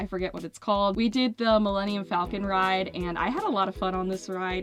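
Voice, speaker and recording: A woman's medium-pitched, upbeat voice at a fairly quick pace, with music in the background. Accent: American. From Kennett Square, Pennsylvania. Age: 20s. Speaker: musician and singer. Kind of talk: casual talk to camera over gameplay.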